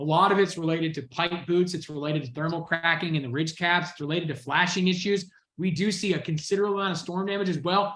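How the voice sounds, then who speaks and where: A man with an American accent and a high pitch, talking very fast with hardly any pauses. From US South, Georgia. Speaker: sales trainer. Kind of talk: training session on a video call. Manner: fast, pitchy; animated.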